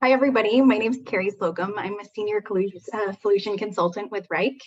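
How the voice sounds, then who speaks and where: Talking at a very fast pace, a woman uses an American accent. Her medium-pitched voice shows ordinary pitch variation. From Wyoming, US. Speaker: software solution consultant; presenter. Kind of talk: webinar presentation. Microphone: video call.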